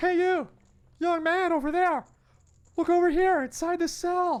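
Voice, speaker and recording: A squeaky, put-on character voice hits an extremely high pitch. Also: moderate pace. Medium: game stream.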